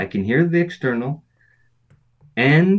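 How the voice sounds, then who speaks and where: His speech, that of a man, carries a lively intonation. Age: 50s. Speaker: breathing and performance coach. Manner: animated, chatty with laughs.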